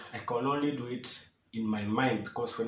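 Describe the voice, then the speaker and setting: With a Kenyan accent, a man speaks at medium pitch. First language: Swahili and Kikuyu. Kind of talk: casual talk to camera.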